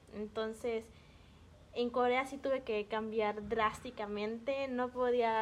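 The speaker has a Mexican accent and talks at a very slow pace. The intonation stays fairly even. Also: woman. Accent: Mexican-sounding. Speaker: podcast guest. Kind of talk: casual chat.

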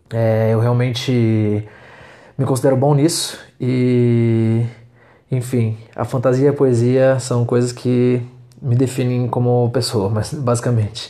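A man's dark, mellow voice, very slow and in a flat monotone. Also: medium pitch for a man. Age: 20s. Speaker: podcaster, law student. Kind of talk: solo monologue podcast. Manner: halting.

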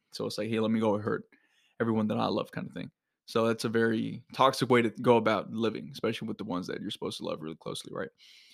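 A man with a medium-pitched voice and vocal fry talks at a very fast pace on a very clean recording with a silent background. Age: 20s. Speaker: podcast host and fitness coaching CEO. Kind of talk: motivational monologue. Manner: energetic.

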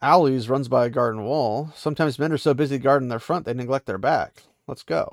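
Ordinary pitch variation in plain reading aloud

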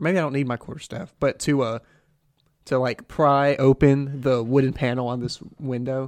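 This man has an unremarkable speaking voice, fairly high in pitch. He talks at a moderate pace with fairly even intonation. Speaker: tabletop game player. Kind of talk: tabletop roleplaying game session, casual.

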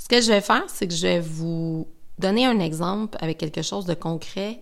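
Fairly slow speech from a woman with a fairly low pitch and ordinary pitch variation. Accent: Quebec. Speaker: skincare brand educator. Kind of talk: podcast monologue.

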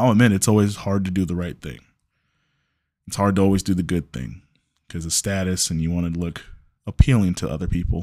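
A man talks in a very deep, low pitch with a dark, mellow tone, at a fairly quick pace with long, frequent pauses. The recording is very clean, with a silent background. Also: ordinary pitch variation. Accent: American. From Chicago. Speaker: podcast host. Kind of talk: solo monologue. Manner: casual.

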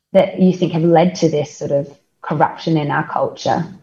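Over music in the background, a woman with an Australian accent talks at a fairly slow pace. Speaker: podcast co-host, company co-founder. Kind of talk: casual interview. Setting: video call. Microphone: call audio may cut in and out.

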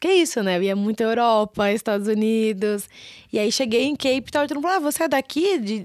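A woman's fairly high, fairly quick voice with lively intonation, on a very clean recording with a silent background. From Brazil, São Paulo. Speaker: marketing director of a travel startup. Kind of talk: casual interview.

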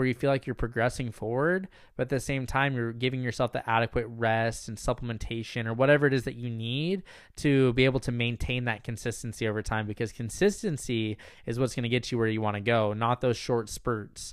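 Here a man has an unremarkable speaking voice, medium in pitch with ordinary pitch variation. He talks at a fairly quick pace on a very clean recording with a silent background. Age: 20s. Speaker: podcast host and meditation coach. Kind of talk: solo Q&A podcast monologue. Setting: recording while staying in Michigan.

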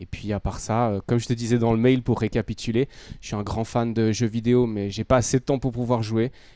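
At a fairly quick pace, a man speaks in a dark, mellow tone at medium pitch, his intonation monotone and flat. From Switzerland, Lausanne. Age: 30s. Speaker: fitness coach. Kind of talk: interview.

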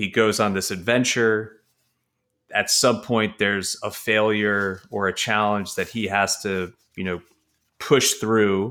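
In a very clean recording with a silent background, a voice with a bright, sharp tone and an American accent speaks at a very slow pace in a monotone, flat intonation. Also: man, fairly low pitch for a man. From New York. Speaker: real estate investor. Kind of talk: casual chat.

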